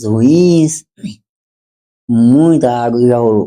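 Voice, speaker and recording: A man speaks with a dark, mellow tone at a medium pitch. His pitch varies in an ordinary way. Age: 40s. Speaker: carpenter, small business owner. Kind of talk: casual interview chat.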